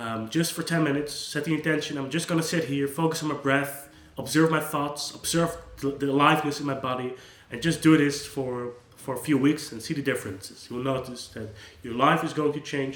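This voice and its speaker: A fairly high-pitched man with a Dutch accent at a fairly quick pace, with fairly even intonation, audible room echo and noticeable background noise. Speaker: psychologist. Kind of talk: unscripted monologue. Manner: casual, with hesitations and restarts.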